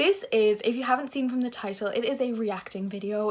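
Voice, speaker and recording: A woman with a fairly high pitch speaks at a fairly quick pace, her pitch varying in an ordinary way. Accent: Irish. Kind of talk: casual vlog chat. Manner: animated.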